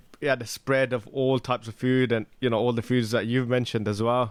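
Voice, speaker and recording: On a very clean recording with a silent background, a man with a British accent talks fairly quickly at a medium pitch with fairly even intonation. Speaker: travel podcast host. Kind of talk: casual podcast conversation.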